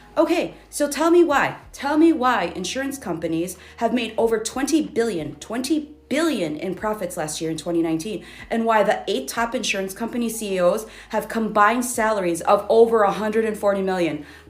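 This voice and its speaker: A woman with an American accent, fairly high in pitch, talking at a fairly quick pace with very wide pitch swings, amid audible room echo and noticeable background noise. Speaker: social media commenter. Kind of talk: casual rant video. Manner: fast.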